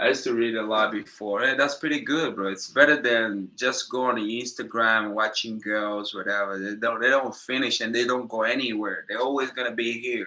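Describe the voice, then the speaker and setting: A man with a non-native accent speaks at a medium pitch. His tone is bright and sharp, and his intonation fairly even. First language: Portuguese. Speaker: YouTuber and businessman. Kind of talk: livestream Q&A monologue. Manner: casual, halting.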